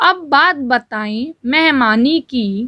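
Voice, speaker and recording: Against a quiet background, a woman speaks high-pitched with lively intonation. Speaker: shorthand dictation reader. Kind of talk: shorthand dictation read aloud at set speed. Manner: steady, dictation pace, clear.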